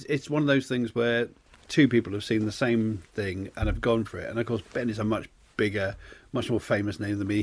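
A man talks at a very fast pace in a somewhat breathy, medium-pitched voice with ordinary pitch variation. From Cornwall, England. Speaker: podcast co-host, writer. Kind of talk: casual chat. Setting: studio.

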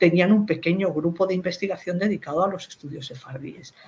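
A woman speaks. Her voice is somewhat breathy. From Spain, Madrid. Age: 60s. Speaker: philologist, professor and writer. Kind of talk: interview about her career.

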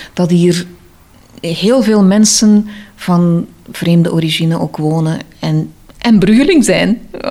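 A woman's voice sits at a fairly low pitch. She speaks at a very slow pace with long, frequent pauses. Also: ordinary pitch variation. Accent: Antwerp. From Antwerp, Belgium. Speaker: interviewee. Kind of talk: personal interview. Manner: hesitant.

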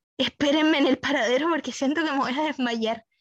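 A woman with a Chilean accent talks at a fairly quick pace, her pitch moving in an ordinary way, in a very clean recording with a silent background. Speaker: podcast co-host. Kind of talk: casual chat.

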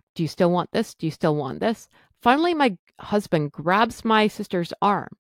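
A woman's medium-pitched voice with lively intonation, in a very clean recording with a silent background and a dry, close sound with no echo. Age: 40s. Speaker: podcast host sharing eating disorder recovery. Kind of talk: personal storytelling monologue. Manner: loud.

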